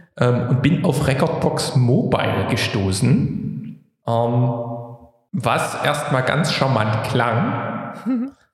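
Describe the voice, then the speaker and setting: There is audible room echo as a man speaks with fairly high pitch, lively intonation and very even loudness. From Saxony, Vogtland (Plauen). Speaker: podcast co-host, DJ and music tech enthusiast. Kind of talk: casual chat.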